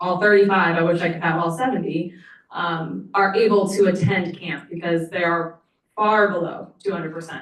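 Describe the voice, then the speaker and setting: A woman talks at a fairly quick pace. Her pitch is fairly low, with ordinary variation. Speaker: nonprofit program director. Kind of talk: public comment at board meeting. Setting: meeting room podium microphone. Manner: loud.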